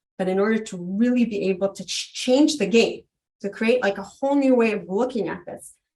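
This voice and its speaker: In a normal speaking voice with an American accent, a woman talks at a moderate pace with ordinary pitch variation. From New York and Israel. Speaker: biotech company founder and CEO. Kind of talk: interview.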